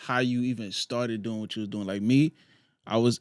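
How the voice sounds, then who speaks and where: With a New York accent, a man speaks at a moderate pace on a very clean recording with a silent background and a dry, close sound with no echo. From New York, Queens. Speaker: clothing brand founder. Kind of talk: podcast interview.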